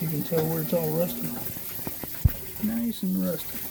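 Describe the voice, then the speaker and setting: The speech moves at a moderate pace. Room echo is audible, and there is noticeable background noise. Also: man. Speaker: DIY home repairer. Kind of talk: casual how-to video. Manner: quiet, hushed.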